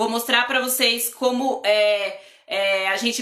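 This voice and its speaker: The tone is bright and sharp, the intonation monotone and flat. Room echo is audible. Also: woman. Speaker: drawing and lettering teacher. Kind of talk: live online class.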